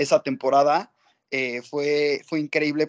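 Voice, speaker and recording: A man with a fairly high pitch is heard in a dry, close sound with no echo. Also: quiet background. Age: 20s. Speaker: football fan. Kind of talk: casual chat.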